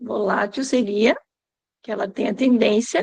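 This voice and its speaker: A woman speaks in an ordinary speaking voice at a fairly high pitch and moderate pace, with ordinary pitch variation, in a dry, close sound with no echo. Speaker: aromatherapy teacher. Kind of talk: lecture.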